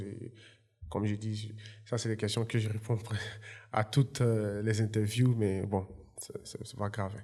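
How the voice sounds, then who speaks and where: Somewhat breathy and dark, mellow in tone, a man speaks at a moderate pace in a fairly low pitch with monotone, flat intonation. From Côte d'Ivoire (Yopougon, Abidjan). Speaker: entrepreneur and former footballer. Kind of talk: interview.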